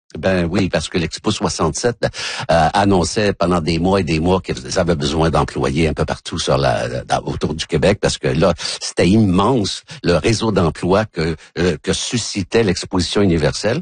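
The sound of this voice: A slightly husky edge, a moderate pace with few pauses, and ordinary pitch variation. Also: man, low pitch for a man.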